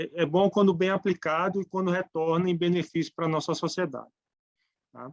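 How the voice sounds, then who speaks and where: In a northeastern Brazilian accent, a man speaks at a moderate pace and high pitch with fairly even intonation, the sound dry and close with no echo. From Brazilian Northeast. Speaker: tax speaker. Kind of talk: lecture. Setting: webinar. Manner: halting.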